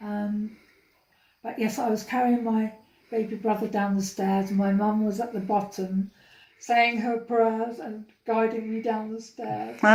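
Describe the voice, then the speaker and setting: A woman with a London accent speaks at a fairly slow pace, with a fairly high pitch, a dark, mellow tone and monotone, flat intonation. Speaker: interviewee, older sister. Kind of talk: family oral history interview.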